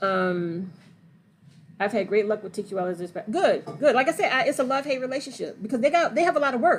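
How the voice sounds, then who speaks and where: A woman's high pitch with very wide pitch swings, an animated tone, and a very fast pace. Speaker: trucking and gig work educator. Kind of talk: livestream Q&A. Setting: livestream.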